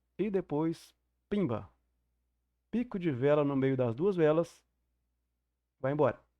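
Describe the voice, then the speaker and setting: A man speaks at a fairly slow pace with a dark, mellow tone and ordinary pitch variation, his dry, close sound carrying no echo over a quiet background. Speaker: trading mentor teacher. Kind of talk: online class lecture. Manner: deliberately slow.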